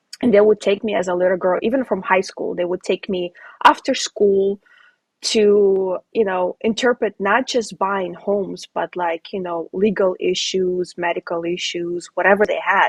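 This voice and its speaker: A woman's unremarkable speaking voice, an unremarkable speaking voice of medium pitch with fairly even intonation at a moderate pace, dry and close with no echo. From Ukraine, moved to US as a child. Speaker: real estate investor. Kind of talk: casual chat.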